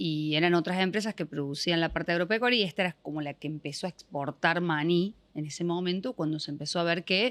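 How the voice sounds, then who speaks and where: A woman with a Córdoba accent talks at a fairly quick pace, her fairly low pitch showing ordinary pitch variation, on a very clean recording with a silent background. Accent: Córdoba accent, clearly noticeable. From Argentina, Córdoba province (General Cabrera). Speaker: business owner. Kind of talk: podcast interview.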